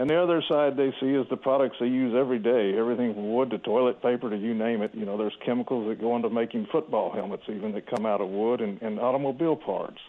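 A man speaks with a Texan accent. He talks at a very fast pace. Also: medium pitch for a man, ordinary pitch variation. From Texas, Houston. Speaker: logging industry representative. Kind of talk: radio interview.

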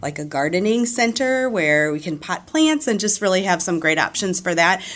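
A woman's plain, everyday voice, fairly low in pitch, with lively intonation, a moderate pace and an American accent. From US Midwest, St. Louis, Missouri. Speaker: retail store manager. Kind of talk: radio interview.

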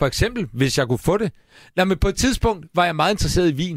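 A man at a very fast pace, with vocal fry and very wide pitch swings, on a very clean recording with a silent background. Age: 40s. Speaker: radio host. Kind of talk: casual chat. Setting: studio.

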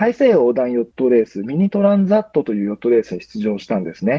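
A man's voice with very wide pitch swings. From Japan, Chiba. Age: 30s. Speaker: ocean sailor. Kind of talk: interview. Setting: remote call. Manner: hesitant with fillers.

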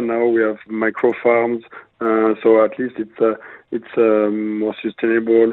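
With a French accent, a man speaks at a medium pitch and a fairly slow pace in a monotone, flat intonation. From La Rochelle, western France. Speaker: executive chef. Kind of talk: interview. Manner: halting, many fillers.

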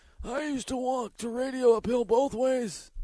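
A man's put-on character voice, extremely high-pitched, at a moderate pace with fairly even intonation. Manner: grumpy, complaining.

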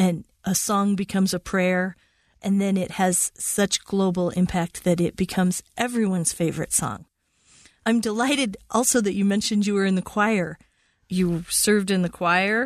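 Using a plain, everyday voice, a woman talks at a moderate pace with medium pitch, fairly even intonation and very even loudness. The sound is dry and close with no echo, over a quiet background.

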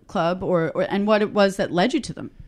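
Against a quiet background, a woman with a New York accent talks with ordinary pitch variation. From Queens, New York. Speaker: radio host. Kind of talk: interview.

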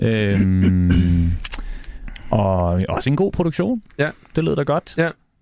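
Over music in the background, a man with fairly low pitch speaks at a very slow pace, with long, frequent pauses, very wide pitch swings and very even loudness. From Copenhagen, Amager. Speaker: radio host and DJ, guest judge. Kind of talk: casual chat.

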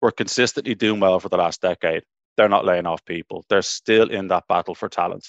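A man with an Irish accent at a fairly quick pace, in a dry, close sound with no echo against a quiet background. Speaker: tech recruiter. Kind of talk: panel discussion.

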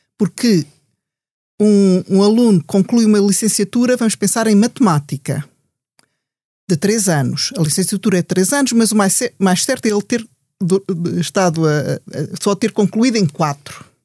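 A somewhat breathy woman with a dark, mellow tone and lively intonation speaks at a moderate pace, with long, frequent pauses, in a dry, close sound with no echo. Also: medium pitch for a woman. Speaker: statistician and university lecturer. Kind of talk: panel discussion. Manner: halting, many fillers and repetitions.

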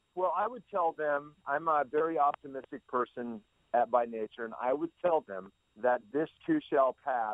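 Moderate pace and lively intonation in a normal speaking voice. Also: man, fairly high pitch for a man. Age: 60s. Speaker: pitching trainer and baseball consultant. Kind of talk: interview.

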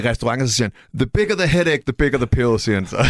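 A man's voice is captured dry and close with no echo, on a very clean recording with a silent background. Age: young. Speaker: rapper and music producer. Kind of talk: casual chat.

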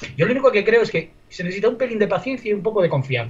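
A high-pitched man talking at a very fast pace. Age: 40s. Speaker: sports podcast panelist. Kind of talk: casual chat.

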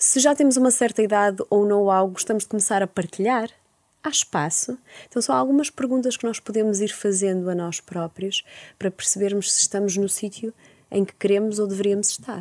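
A woman with a Porto accent talks at a fairly quick pace and medium pitch, with ordinary pitch variation. The recording is very clean and silent behind her, with a dry, close sound and no echo. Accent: northern European Portuguese (Porto). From Porto, northern Portugal. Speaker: psychologist. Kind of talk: interview.

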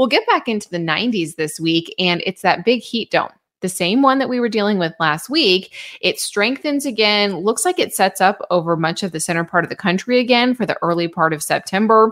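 On a very clean recording with a silent background, a woman with an ordinary speaking voice talks at a fairly quick pace, at medium pitch and with lively intonation. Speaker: weather forecaster podcast host. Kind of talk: weather forecast briefing. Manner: upbeat, friendly.

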